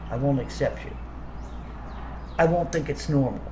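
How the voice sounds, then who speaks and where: A man speaks, with audible room echo around his voice. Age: 60s. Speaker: video commentator. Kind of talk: rant. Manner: stammering, repeats words; animated.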